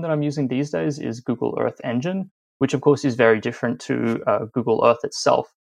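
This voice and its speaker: A man talks at a fairly quick pace with an Australian accent. His medium pitch carries lively intonation. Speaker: journalist. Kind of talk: interview.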